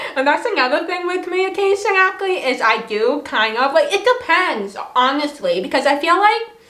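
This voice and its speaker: A woman projects her raised voice at an extremely high pitch, swinging very widely in pitch at a moderate pace. Noticeable background noise runs underneath. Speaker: vlogger. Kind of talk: casual vlog talk. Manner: loud when not understood.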